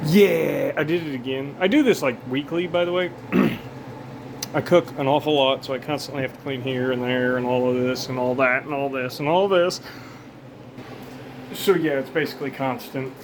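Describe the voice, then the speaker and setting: Amid noticeable background noise, a man speaks in a fairly high pitch with ordinary pitch variation and long, frequent pauses. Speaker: pest control worker. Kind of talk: casual talk to camera. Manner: fast, disorganized, energetic.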